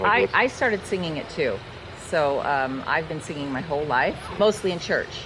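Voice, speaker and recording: A woman speaks at a moderate pace in a fairly low voice with very wide pitch swings. Noticeable background noise is present. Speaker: blues singer. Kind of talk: interview.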